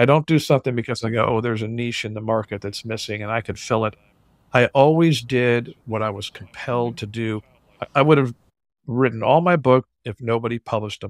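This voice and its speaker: Recorded dry and close with no echo, a man with an unremarkable speaking voice talks at a medium pitch and a fairly quick pace with ordinary pitch variation. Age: 60s. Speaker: drummer and author. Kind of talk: interview.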